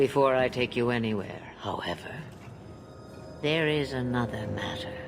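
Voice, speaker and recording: Over clear background noise, a man does a put-on character voice at medium pitch and a moderate pace. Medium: video game. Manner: cryptic, amused, archaic phrasing.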